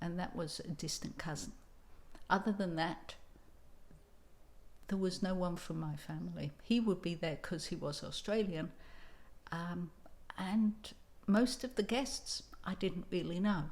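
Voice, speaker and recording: With an English accent, a woman talks at a fairly slow pace in a somewhat breathy, fairly low voice with ordinary pitch variation and long, frequent pauses. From England. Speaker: writing coach. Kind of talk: tutorial with personal storytelling.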